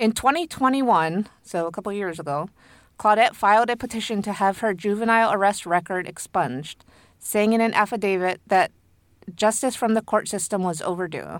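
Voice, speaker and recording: Using a plain, everyday voice, a woman speaks at a medium pitch with ordinary pitch variation. Her delivery is fairly quick. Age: 30s. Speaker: podcast co-host and editor. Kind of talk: storytelling from notes. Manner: laughs often.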